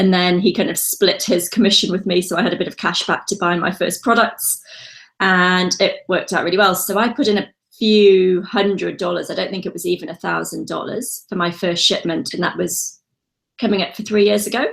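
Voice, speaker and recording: A woman speaks at a fairly quick pace with a British accent, using vocal fry, fairly even intonation and a medium pitch. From UK. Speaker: online seller and entrepreneur. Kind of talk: interview. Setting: call.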